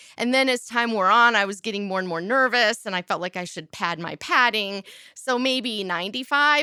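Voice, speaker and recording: A woman speaks at a moderate pace with lively intonation and a slight Midwestern accent, her pitch fairly high and her tone bright and sharp. The recording is very clean with a silent background, and the sound is dry and close with no echo. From US Midwest, south of Chicago. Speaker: interfaith minister and world record holder. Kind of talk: interview. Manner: casual.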